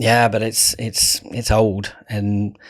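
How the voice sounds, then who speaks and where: On a very clean recording with a silent background, a man with a southern English accent speaks in a fairly low, monotone, flat voice. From England, Kent. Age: 40s. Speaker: creative director. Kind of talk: casual chat.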